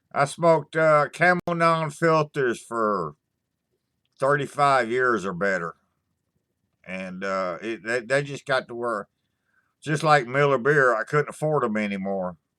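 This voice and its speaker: With lively intonation and a bright, sharp tone, a man at a medium pitch speaks at a fairly slow pace with long, frequent pauses in a very clean recording with a silent background. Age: 60s. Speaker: YouTuber doing live stream. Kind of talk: casual live chat. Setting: live stream. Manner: halting, many fillers.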